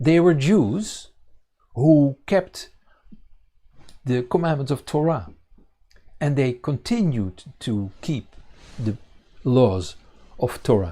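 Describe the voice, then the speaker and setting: A man with a Dutch accent and a dark, mellow, somewhat breathy tone, fairly high in pitch, with very wide pitch swings, a very slow pace and long, frequent pauses. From Netherlands. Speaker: congregation leader and Bible teacher. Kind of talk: sermon. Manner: halting, many fillers.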